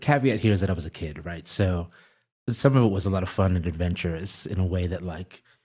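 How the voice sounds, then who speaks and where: A man talks at a fairly quick pace with a New York accent. The recording is very clean, with a silent background. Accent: American (New York). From Eswatini and New York. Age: 30s. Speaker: media editor. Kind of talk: interview conversation.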